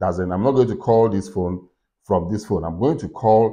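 A dark, mellow tone with ordinary pitch variation over a quiet background. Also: man. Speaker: tech tutorial creator. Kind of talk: tutorial.

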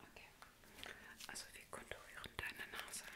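A woman is whispering, keeping a moderate pace. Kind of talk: soft personal-attention role play. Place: home room. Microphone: phone near.

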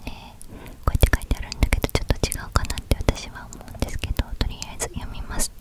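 A soft-spoken woman speaks in a whisper. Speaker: book-talk vlogger. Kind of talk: casual vlog chat. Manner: soft close-mic ASMR whisper. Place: home room. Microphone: studio mic.

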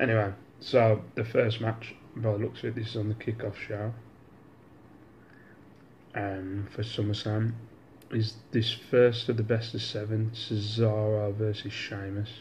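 Over light background noise, a man with a fairly low pitch speaks in a monotone, flat way and leaves long, frequent pauses. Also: fairly slow pace. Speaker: vlogger. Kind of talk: casual vlog chat. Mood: relaxed, joking. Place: home room. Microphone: phone near.

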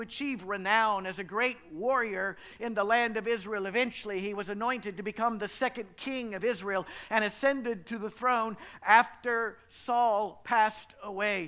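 Against a quiet background, a man raises and projects a bright, sharp voice at a moderate pace with fairly even intonation. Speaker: pastor. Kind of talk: sermon. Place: church. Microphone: headset.

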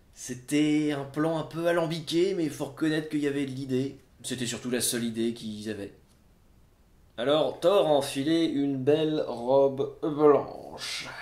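Here a man talks at a fairly slow pace and a fairly high pitch, with ordinary pitch variation. Audible room echo is present. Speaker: storyteller performing a live show. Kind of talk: live storytelling performance, humorous. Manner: conversational, comic, lively. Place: home room.

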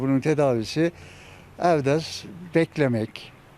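A man speaks at a moderate pace. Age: 70s. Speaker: neighbourhood headman. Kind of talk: interview answer.

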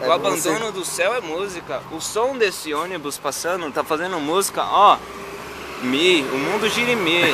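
A man talks at a moderate pace with ordinary pitch variation, his dry sound carrying no echo amid loud background noise. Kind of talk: casual rambling monologue to camera. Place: street. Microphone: phone near.

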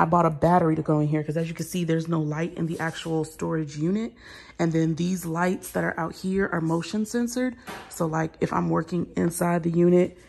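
With an unremarkable speaking voice, a woman talks at a fairly low pitch with fairly even intonation. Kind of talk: casual vlog chat. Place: garage. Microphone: phone near.

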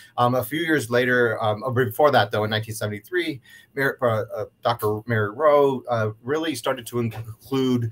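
A man with an American accent, medium pitch, ordinary pitch variation and a fairly slow pace. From US Northeast (western New York). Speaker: university diversity director. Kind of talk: panel discussion. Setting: video call. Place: office.

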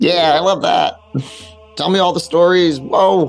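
Faint music plays in the background behind a middle-pitched voice. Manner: greedy, then delighted.

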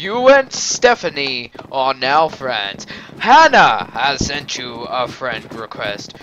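The man talks at a very slow pace. There is noticeable background noise throughout. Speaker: gaming YouTuber. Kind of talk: casual gaming commentary. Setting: recorded at home computer, door open. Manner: animated, joking.

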